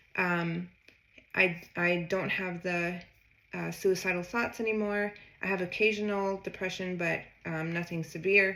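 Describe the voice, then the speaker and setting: Her pitch is medium for a woman. She speaks in a monotone with flat intonation. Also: fairly slow pace. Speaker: health vlogger sharing personal story. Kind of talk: personal testimony monologue. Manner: slow; hesitant, many fillers.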